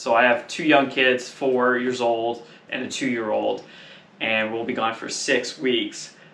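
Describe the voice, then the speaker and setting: This man talks at a moderate pace with a medium pitch and a bright, sharp tone. Room echo can be heard. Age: 30s. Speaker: motorcycle traveller. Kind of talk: casual chat.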